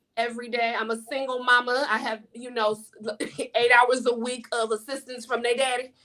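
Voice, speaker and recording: At a moderate pace, a woman speaks in an animated, high-pitched voice with a bright, sharp tone. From US South. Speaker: life coach and author. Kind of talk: interview. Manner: loud.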